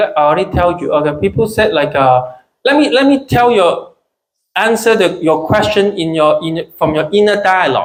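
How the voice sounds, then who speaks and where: A man talks at a moderate pace in a Chinese accent. His high voice makes very wide pitch swings. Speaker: stand-up comedian. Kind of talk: live stand-up comedy set. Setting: small comedy club, live audience.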